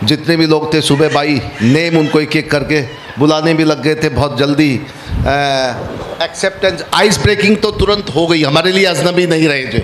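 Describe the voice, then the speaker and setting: Noticeable background noise behind a man's fairly high voice, with ordinary pitch variation and very even loudness. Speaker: workshop facilitator. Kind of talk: workshop talk. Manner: halting, many fillers.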